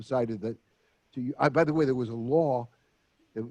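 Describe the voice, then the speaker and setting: At a fairly quick pace, the speaker uses a dark, mellow tone in an American accent. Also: man. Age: 80s+. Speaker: retired therapist and former announcer. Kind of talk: interview.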